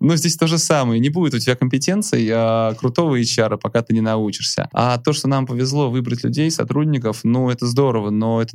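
This man talks at a very fast pace with hardly any pauses, a medium pitch and ordinary pitch variation. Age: 30s. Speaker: entrepreneur and podcast host. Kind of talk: interview.

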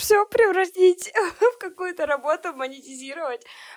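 A woman's voice in a very clean recording, with a silent background and a dry, close sound with no echo. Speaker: journalist and SMM specialist. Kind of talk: casual chat.

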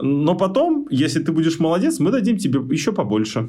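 Audible room echo surrounds a man's dark, mellow voice, which has vocal fry, lively intonation and a moderate pace. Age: 30s. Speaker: software tester. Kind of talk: interview. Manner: animated.

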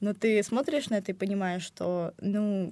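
Her pitch sits in the medium range. This woman's tone is dark and mellow. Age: young. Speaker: university student. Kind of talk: casual chat. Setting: studio.

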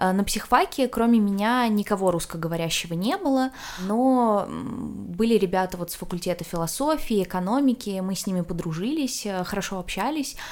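Over noticeable background noise, a woman talks at a moderate pace. Her medium-pitched voice has lively intonation. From Russia. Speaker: psychology student. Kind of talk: interview.

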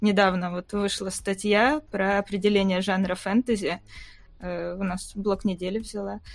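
An ordinary speaking voice comes from a woman talking at a fairly slow pace with fairly even intonation. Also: medium pitch for a woman. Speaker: invited expert on the fantasy books. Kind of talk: casual chat. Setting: video call.

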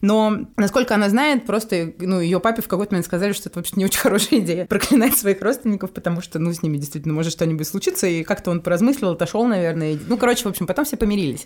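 Lively in intonation, a woman at medium pitch speaks at a very fast pace with hardly any pauses. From Russia. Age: 30s. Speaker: event manager and film critic. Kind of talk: casual chat.

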